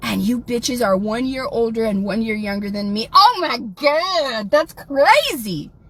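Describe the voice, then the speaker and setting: A woman with an American accent talks with high pitch and lively intonation over noticeable background noise. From South Texas. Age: 40s. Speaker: livestreamer. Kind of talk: livestream rant.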